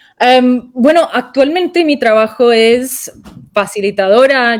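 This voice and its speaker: Speaking at a very slow pace with a non-native accent, a woman uses lively intonation. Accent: non-native Spanish speaker. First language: English (speaking Spanish). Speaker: restorative justice consultant. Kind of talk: interview. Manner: halting.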